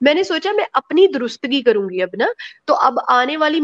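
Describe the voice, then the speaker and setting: In front of a quiet background, a woman's voice moves through very wide pitch swings. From Pakistan. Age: 30s. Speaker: guest. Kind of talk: personal testimony. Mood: emotional, critical personal account. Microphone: video call.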